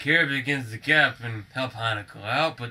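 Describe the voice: Ordinary pitch variation in plain reading aloud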